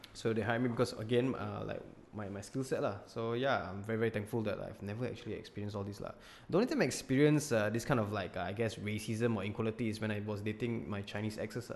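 Speaking very fast with a Singaporean accent, a man keeps a fairly low pitch and fairly even intonation. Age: 20s. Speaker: content creator. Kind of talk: casual chat. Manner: loud. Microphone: new Audio-Technica mic.

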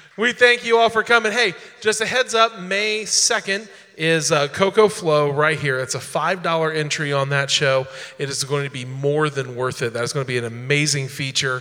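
A man's fairly high, animated voice with very wide pitch swings, over noticeable background noise. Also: moderate pace. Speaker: slam poetry host. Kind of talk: live emcee hosting an open mic slam. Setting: live venue with audience. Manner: animated, joking.

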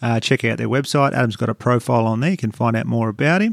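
On a very clean recording with a silent background and a dry, close sound without echo, a man with an Australian accent speaks with ordinary pitch variation. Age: 30s. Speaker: comedian and podcast host. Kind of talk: read ad; casual interview. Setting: cardiologist's office.

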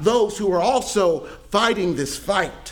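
With audible room echo, a high-pitched man speaks at a fairly slow pace with lively intonation. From Mississippi, US South. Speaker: pastor. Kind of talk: sermon. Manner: halting, frequent word repetitions.

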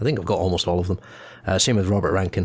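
This man's pitch is very deep and low. His voice is somewhat breathy, with fairly even intonation. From Scotland. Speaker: musician. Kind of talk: casual chat. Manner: hesitant with many fillers.

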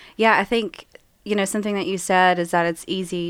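Speaking with an Appalachian accent, a woman keeps a monotone, flat intonation on a very clean recording with a silent background. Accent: Appalachian American. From rural West Virginia. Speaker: author and church member. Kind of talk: casual interview.

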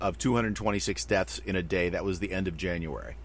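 The speaker's pitch swings very widely, with vocal fry and a moderate pace. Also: man. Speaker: podcast host. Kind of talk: casual chat.

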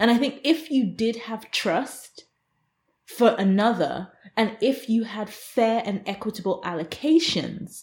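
In a fairly high, somewhat breathy voice, a woman speaks with lively intonation. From England. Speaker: space law professor. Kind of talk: interview.

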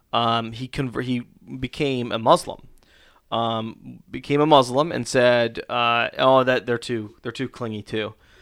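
At a fairly slow pace, a man speaks in an ordinary speaking voice with a medium pitch and fairly even intonation. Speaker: pastor and board game creator. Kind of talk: casual chat. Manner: joking, playful.

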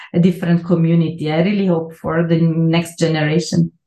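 With an Italian accent, a woman speaks at a moderate pace in a fairly low pitch. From Italy, Milan. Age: 40s. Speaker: neuroscience professor. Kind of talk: interview. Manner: halting.

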